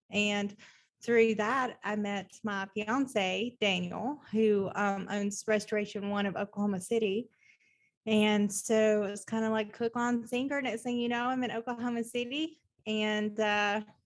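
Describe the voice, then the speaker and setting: Speaking at a fairly slow pace, a woman keeps her fairly high pitch to fairly even intonation. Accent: American. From US South, Nashville, Tennessee. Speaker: plumbing business owner. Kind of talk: podcast interview.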